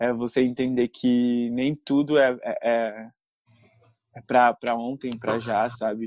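Recorded with a dry, close sound and no echo, a man speaks very slowly at a medium pitch, his intonation monotone and flat. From Brazil, São Paulo city. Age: 20s. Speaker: actor and influencer. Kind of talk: casual interview.

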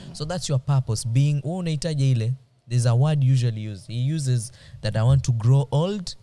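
A man with a medium-pitched, somewhat breathy voice and a dark, mellow tone talks at a fairly quick pace with ordinary pitch variation. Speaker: podcast host. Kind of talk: casual chat; reading aloud. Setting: studio.

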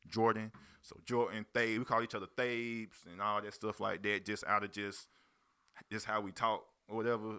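Recorded very cleanly against a silent background, a man with a fairly low pitch and a bright, sharp tone speaks at a moderate pace in a monotone, flat intonation. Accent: American. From South Carolina (Spartanburg/Union). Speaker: rapper and label owner. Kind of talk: casual interview chat.

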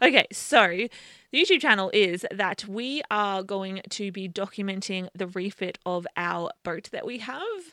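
In a very clean, dry, close recording with a silent background and no echo, a woman with an Australian accent speaks at a fairly slow pace in a bright, sharp tone, with ordinary pitch variation and big swings in loudness. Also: medium pitch for a woman. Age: 20s. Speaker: sailing YouTuber. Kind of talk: casual chat.

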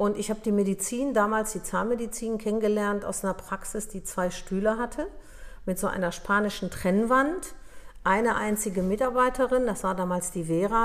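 Here is a woman with a plain, everyday voice, medium in pitch. She keeps a moderate pace and ordinary pitch variation. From Upper Silesia, Poland; raised in Germany from 1963. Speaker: dental practice consultant and entrepreneur. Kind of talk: interview.

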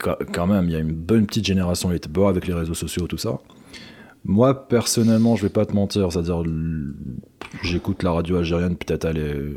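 Very fast and very deep, a man speaks in a low pitch with a dark, mellow tone. His pitch varies in an ordinary way. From Algeria (Algiers). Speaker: podcast host. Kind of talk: casual chat.

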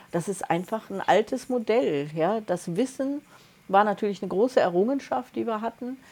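A woman speaks at a moderate pace in an unremarkable speaking voice. Her pitch sits fairly high, with lively intonation. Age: 60s. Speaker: podcast co-host, energy coach. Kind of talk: casual chat.

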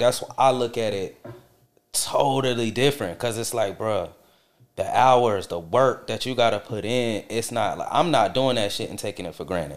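A man with an American accent and an ordinary speaking voice, medium-pitched, at a moderate pace, with ordinary pitch variation. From Charlotte, North Carolina. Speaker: musician. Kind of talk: casual chat.

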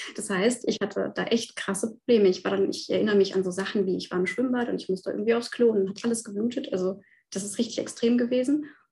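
Vocal fry runs through a woman's fairly high, dark and mellow voice. She speaks at a very fast pace with ordinary pitch variation. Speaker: nutrition scientist, guest. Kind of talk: testimony.

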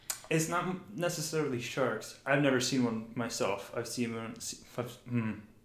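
A man talks at a medium pitch with ordinary pitch variation. The room echo is audible. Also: moderate pace. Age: 20s. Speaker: host's boyfriend, guest. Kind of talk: casual chat.

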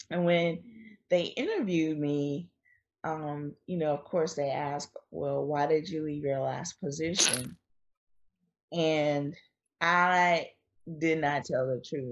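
A woman with a North Carolina accent and a very deep, low pitch, speaking at a very slow pace with long, frequent pauses and fairly even intonation. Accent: North Carolina Southern US. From North Carolina, US South. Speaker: author and blogger. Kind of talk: casual interview chat. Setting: remote call.

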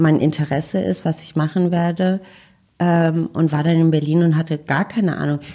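A woman's very deep, low voice with a dark, mellow tone, fairly even intonation and a moderate pace. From Freiburg, southwestern Germany. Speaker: agency co-founder and CEO. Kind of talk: casual interview. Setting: in person at a PR agency office.

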